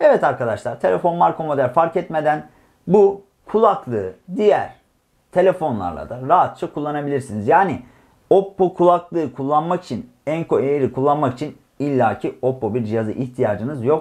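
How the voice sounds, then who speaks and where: Lively intonation from a man at a fairly high pitch, moderate in pace, against a quiet background. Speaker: tech reviewer. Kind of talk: product review.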